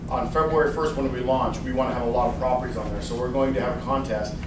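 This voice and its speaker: There is noticeable background noise and audible room echo. A man speaks with ordinary pitch variation. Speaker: presenter. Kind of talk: presentation to audience. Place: meeting room. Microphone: camera far.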